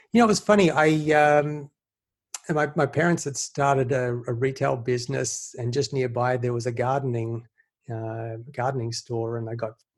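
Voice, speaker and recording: A man speaks with an Australian accent. His voice is somewhat breathy, with ordinary pitch variation. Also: medium pitch for a man, moderate pace. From Australia, Sydney. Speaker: investor. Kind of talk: podcast interview.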